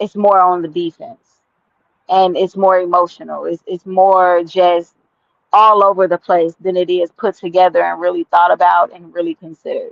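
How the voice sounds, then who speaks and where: A woman speaks in a flat, monotone way while her loudness swings widely. The sound is dry and close, with no echo. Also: medium pitch for a woman, moderate pace. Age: 30s. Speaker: podcast host. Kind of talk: casual chat. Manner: loud when passionate.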